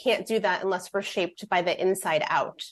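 Against a quiet background, a woman with an American accent talks at a fairly quick pace with ordinary pitch variation. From US Midwest, Fort Wayne, Indiana. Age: 40s. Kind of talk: radio interview.

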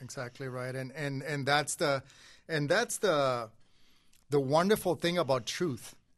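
Against a quiet background, a man with a fairly high pitch speaks at a fairly slow pace, his pitch varying in an ordinary way. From Puerto Rico. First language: Spanish. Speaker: pastor. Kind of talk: testimony. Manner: halting.

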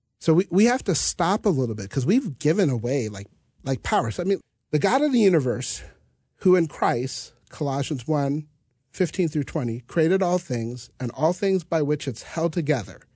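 With an American accent, a somewhat breathy man speaks at a moderate pace, his fairly high pitch making very wide swings. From US Midwest (North Dakota). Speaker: pastor. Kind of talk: Bible study conversation.

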